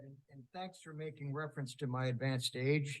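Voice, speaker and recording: A man's somewhat breathy, fairly high-pitched voice at a moderate pace. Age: 70s. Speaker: church musician. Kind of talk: casual spoken introduction to a song.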